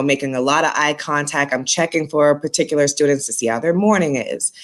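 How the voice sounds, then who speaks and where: Fairly quick and with ordinary pitch variation, a woman with a very deep, low voice speaks with a slight Boston accent. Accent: slight Boston accent, noticeable on R words. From Boston, Massachusetts. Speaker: school staff member and basketball coach. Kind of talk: interview.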